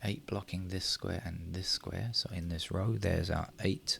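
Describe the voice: Mumbling in a put-on character voice, a man speaks at a moderate pace with a very deep, low pitch.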